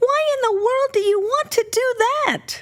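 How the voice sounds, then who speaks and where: A put-on character voice, squeaky and extremely high in pitch. It moves at a moderate pace. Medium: read story.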